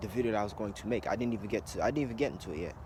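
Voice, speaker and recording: Somewhat breathy, medium-pitched man's voice with ordinary pitch variation. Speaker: conspiracy video blogger. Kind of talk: casual monologue vlog. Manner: fast.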